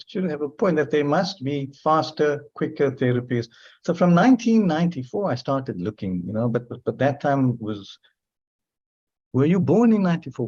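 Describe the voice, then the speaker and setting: Speaking at a moderate pace, a man with a fairly high, somewhat breathy voice swings very widely in pitch over a quiet background. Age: 60s. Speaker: clinical psychologist. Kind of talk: podcast interview.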